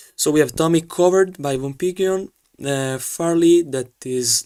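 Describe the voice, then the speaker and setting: This is a man speaking. He has an Italian accent. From Italy. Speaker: sailing race commentator / streamer. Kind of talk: live commentary. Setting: live stream. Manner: halting.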